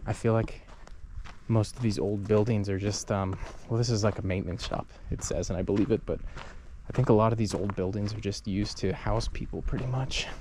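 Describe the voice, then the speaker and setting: The man's voice is fairly low. He moves at a fairly quick pace with fairly even intonation. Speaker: travel vlogger. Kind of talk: casual walking tour vlog. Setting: outdoors. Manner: soft-spoken, trying to be quiet; casual, filler-heavy.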